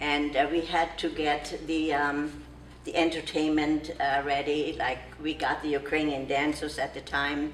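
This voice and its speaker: Someone with a non-native accent speaks fairly slowly in a flat monotone. Background noise is noticeable. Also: woman, very deep, low pitch for a woman. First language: not English. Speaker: longstanding golf club member. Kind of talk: interview. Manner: halting.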